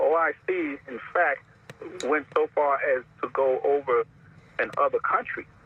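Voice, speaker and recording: A man speaking at a fairly slow pace, with noticeable background noise. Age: 80s+. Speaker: caller. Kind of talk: call-in radio comment. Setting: phone call. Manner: halting.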